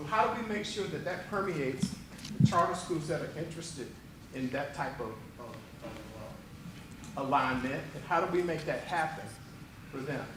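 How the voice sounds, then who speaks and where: In a room with audible echo and noticeable background noise, a man speaks at a moderate pace in a fairly high pitch. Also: ordinary pitch variation. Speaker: strategic planning consultant. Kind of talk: presentation at board meeting. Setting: board meeting room with microphones.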